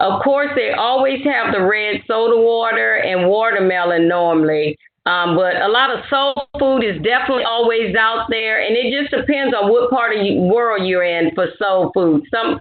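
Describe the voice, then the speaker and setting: A woman with an American accent, a fairly high pitch, lively intonation and very even loudness, over noticeable background noise. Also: moderate pace. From Louisiana, US South. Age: 50s. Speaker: retired army officer. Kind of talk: educational talk, Q&A.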